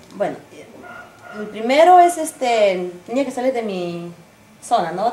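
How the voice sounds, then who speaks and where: Against noticeable background noise, a woman speaks at a moderate pace with long, frequent pauses. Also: big swings in loudness. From Peru, Ancash region. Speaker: folk singer-songwriter. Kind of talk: interview answer.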